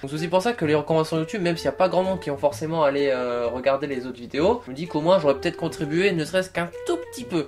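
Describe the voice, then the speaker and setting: A man's fairly high voice at a very fast pace, lively in intonation, against noticeable background noise. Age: 20s. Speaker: YouTuber. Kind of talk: vlog commentary.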